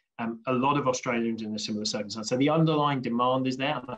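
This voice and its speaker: Speaking at a very fast pace, a man with a British accent keeps his intonation fairly even. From UK. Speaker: infrastructure industry panelist. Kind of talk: panel discussion.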